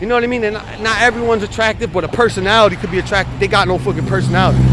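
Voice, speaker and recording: A man speaks very fast in an American accent, with noticeable background noise around him. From New York. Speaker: vlogger. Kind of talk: casual video diary.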